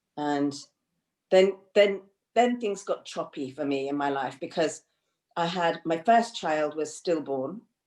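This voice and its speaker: In a very clean recording with a silent background, a woman speaks with an English accent at a fairly low pitch. Her pace is fairly slow, her intonation lively, and her pauses long and frequent. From England, of Indian family. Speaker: counsellor and psychotherapist. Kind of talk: interview conversation. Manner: hesitant, many fillers and repeats.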